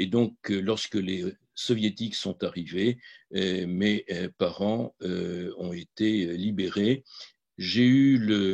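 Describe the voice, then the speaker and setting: The man's pitch is fairly low and his intonation fairly even. He speaks at a very slow pace. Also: dry, close sound with no echo. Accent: Polish. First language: Polish (speaking French). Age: 70s. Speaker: physician and Holocaust memory advocate. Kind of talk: testimony. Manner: halting, many hesitations.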